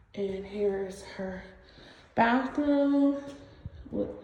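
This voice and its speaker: There is noticeable background noise and audible room echo as a woman talks with ordinary pitch variation. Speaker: vlogger documenting her new home build. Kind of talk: home tour vlog. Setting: inside a house under construction.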